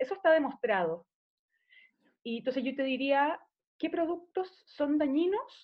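Woman with a Chilean accent, high pitch and lively intonation at a fairly slow pace. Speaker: nutritionist. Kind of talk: interview conversation.

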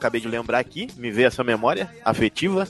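An animated tone with very wide pitch swings at a fairly quick pace. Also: man. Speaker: podcast host. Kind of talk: casual chat.

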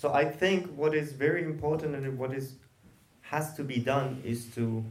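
Amid audible room echo, a man with a Persian accent speaks at a fairly slow pace, his fairly high pitch showing ordinary variation. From Iran, Tehran. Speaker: queer theater artist and activist. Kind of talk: panel discussion.

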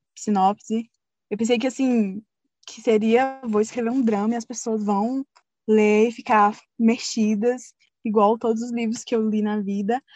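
Speaking at a fairly slow pace, a woman with a fairly high pitch and monotone, flat intonation shows big swings in loudness, recorded with a dry, close sound and no echo. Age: 20s. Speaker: fanfiction writer. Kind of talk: interview.

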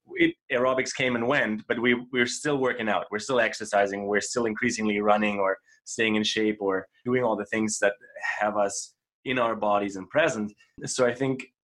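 A man's normal speaking voice: middle pitch, moderate speed, mostly level intonation. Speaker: podcast host. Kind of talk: interview.

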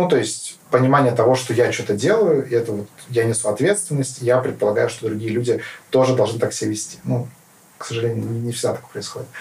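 Speaking fairly quickly, a man holds a medium pitch and shows ordinary pitch variation. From Kazakhstan (Karaganda). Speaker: politician. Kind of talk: interview. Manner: hesitant, many fillers.

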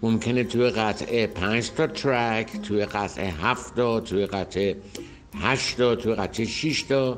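At a fairly slow pace, a man talks in a medium pitch with ordinary pitch variation and very even loudness. Noticeable background noise is present. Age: 60s. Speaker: rock drummer and percussion teacher. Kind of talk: interview monologue.

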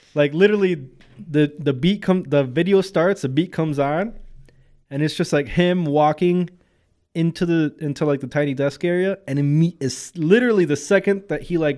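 A man with an ordinary speaking voice, fairly high in pitch, at a moderate pace with ordinary pitch variation, in a very clean recording over a silent background. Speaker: podcast co-host. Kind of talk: casual banter podcast.

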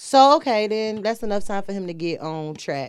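Lively intonation in a normal speaking voice, a woman's, medium-pitched and at a moderate pace. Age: 30s. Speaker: first-time podcast guest. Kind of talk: casual chat.

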